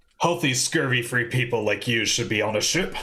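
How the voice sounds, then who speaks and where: A man performs a put-on character voice. His pitch sits in the medium range. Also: fairly quick pace. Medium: actual play. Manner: blustering, dramatic.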